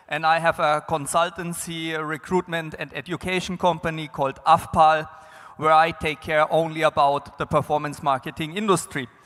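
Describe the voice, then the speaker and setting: Music plays in the background as the speaker goes at a moderate pace in a monotone, flat intonation. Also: man. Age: 40s. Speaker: business development consultant, conference speaker. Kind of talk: conference panel talk.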